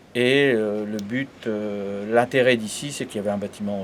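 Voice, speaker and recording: With noticeable background noise behind him, a man speaks fairly slowly in a fairly low pitch and with fairly even intonation. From northern France, Aisne area. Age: 60s. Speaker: embroidery business owner. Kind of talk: interview. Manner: halting.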